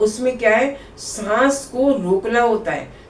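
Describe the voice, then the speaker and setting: This clip features a woman talking. Her words ring with audible room echo. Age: 60s. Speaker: yoga teacher. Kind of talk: tutorial. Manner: conversational.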